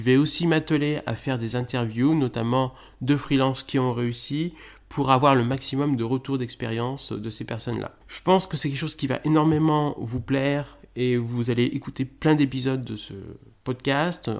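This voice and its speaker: A man with a plain, everyday voice at a medium pitch, fairly even intonation and a moderate pace. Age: 30s. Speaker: podcast host, freelance SEO consultant. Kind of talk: solo podcast introduction.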